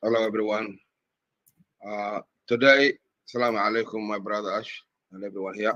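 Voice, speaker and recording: With a fairly low pitch, this man delivers a bright, sharp tone in a monotone, flat intonation, leaving long, frequent pauses. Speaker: webinar participant. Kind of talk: casual online meeting remarks. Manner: halting.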